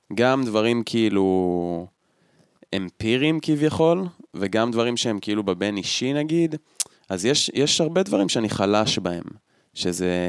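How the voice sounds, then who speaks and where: A man talks at a fairly slow pace in a fairly low pitch, his pitch swinging very widely. He leaves long, frequent pauses. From central Israel. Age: 20s. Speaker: podcast co-host. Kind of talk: casual chat. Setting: at co-host's home.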